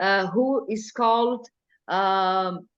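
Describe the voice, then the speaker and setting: In a Brazilian Portuguese accent, a woman speaks at a very slow pace. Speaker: mental health carnival group organizer. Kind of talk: Q&A talk. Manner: halting.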